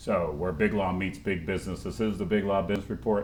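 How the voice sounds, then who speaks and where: A man with a Baltimore accent, talking at a fairly quick pace. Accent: Baltimore American English. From Baltimore, Maryland, US. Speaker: talk show host. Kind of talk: interview. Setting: studio. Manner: animated.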